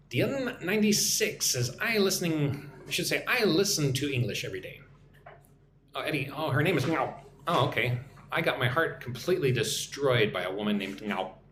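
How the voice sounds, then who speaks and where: A man with an American accent at a fairly high pitch and fairly quick pace, with very wide pitch swings, audible room echo and noticeable background noise. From Texas. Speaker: English teacher. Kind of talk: live stream chat. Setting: live stream.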